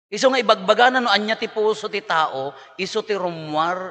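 Fairly quick and animated, a man talks in a bright, sharp tone with ordinary pitch variation. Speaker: priest giving homily. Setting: church or mass with a congregation. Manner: animated, jokey, conversational; earnest and exhortative, preaching about the heart and correction.

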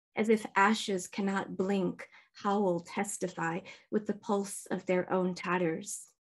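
Speaking at a very slow pace, a woman holds a medium pitch with monotone, flat intonation. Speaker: poet and creative writing teacher; poet, creative writing teacher. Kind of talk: poetry reading. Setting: video call. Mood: calm, solemn. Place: home room. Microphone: webcam.

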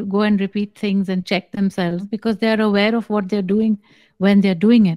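A woman speaks in a dark, mellow tone against a quiet background. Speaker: spiritual teacher. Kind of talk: spiritual guidance answer. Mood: calm, measured, slow. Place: home room. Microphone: studio mic.

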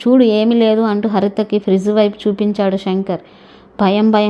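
The words are read aloud. The reading is plain.

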